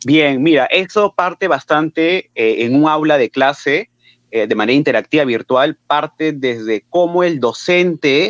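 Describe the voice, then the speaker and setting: Speaking with a Peruvian accent, a man talks at a fairly slow pace with ordinary pitch variation, the sound dry and close with no echo against a quiet background. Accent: Peruvian Spanish (Lima). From Peru, Lima. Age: 20s. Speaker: teacher. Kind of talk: interview.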